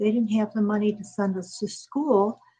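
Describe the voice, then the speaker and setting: A woman speaks with an American accent at a moderate pace, her pitch fairly high with ordinary variation. Her voice is somewhat breathy. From Chicago, US Midwest. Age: 70s. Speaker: author, bereaved mother. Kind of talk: interview testimony. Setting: talk show interview.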